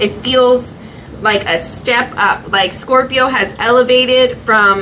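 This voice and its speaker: Very slow delivery at a very even loudness over noticeable background noise. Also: woman, high pitch for a woman, fairly even intonation. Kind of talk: tarot reading monologue. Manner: halting.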